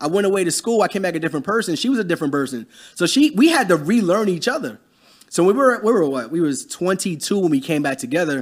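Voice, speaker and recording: At a very fast pace, a man speaks with a high pitch. His voice makes very wide pitch swings. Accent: American. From US, grew up in the projects. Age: 30s. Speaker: entrepreneur, cleaning company owner. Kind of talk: casual interview chat.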